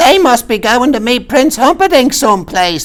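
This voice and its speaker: A put-on character voice. Its pitch sits fairly high. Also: moderate pace. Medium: read story. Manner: tart, contrary.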